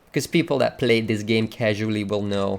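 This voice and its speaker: This man speaks with a non-native accent. His pitch sits fairly low. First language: not English. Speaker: gaming streamer. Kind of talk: tutorial. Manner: casual, hesitant with fillers.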